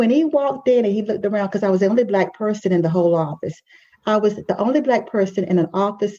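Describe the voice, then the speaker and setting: An animated woman's voice at medium pitch, in a Southern US accent, with very even loudness. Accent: Southern drawl. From US South. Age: 60s. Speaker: life coach and podcast host. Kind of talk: podcast conversation. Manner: animated storytelling.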